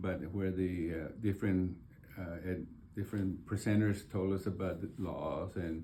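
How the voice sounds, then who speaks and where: Amid audible room echo, a man with a very deep, low pitch and a dark, mellow tone speaks fairly slowly in a somewhat breathy voice with fairly even intonation. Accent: American. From Texas, San Antonio. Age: 70s. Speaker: board candidate. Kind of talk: interview. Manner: halting, many fillers.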